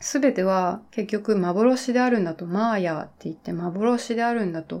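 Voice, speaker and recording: Delivered at a fairly slow pace with ordinary pitch variation, the dark, mellow tone sits in a very clean recording with a silent background. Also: woman. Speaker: YouTuber. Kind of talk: casual solo talk. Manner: hesitant with fillers.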